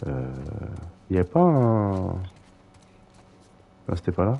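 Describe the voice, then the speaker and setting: The man speaks at a very slow pace. His pitch is very deep and low. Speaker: gaming streamer. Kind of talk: live gameplay commentary. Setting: live stream. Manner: hesitant, many fillers.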